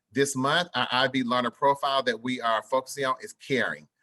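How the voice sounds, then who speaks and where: Moderate pace, bright and sharp tone and fairly even intonation, with a dry, close sound with no echo and a quiet background. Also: man. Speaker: school principal. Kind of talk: parent information presentation. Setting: live video meeting streamed online.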